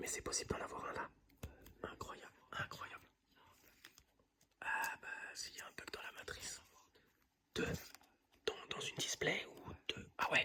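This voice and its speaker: A man whispers at a fairly slow pace. Long, frequent pauses break his speech over noticeable background noise. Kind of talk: casual talk to camera, ASMR-style trading card opening. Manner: whispered, soft-spoken.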